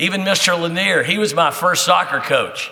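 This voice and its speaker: With an American accent, a man talks at a moderate pace amid noticeable background noise and audible room echo. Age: 60s. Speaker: teacher and soccer coach. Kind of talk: speech to audience. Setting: breakfast event with audience. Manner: conversational, with many fillers.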